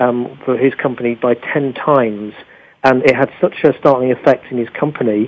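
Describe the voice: A man speaks at medium pitch with a slightly husky edge. His pace is moderate and his intonation fairly even.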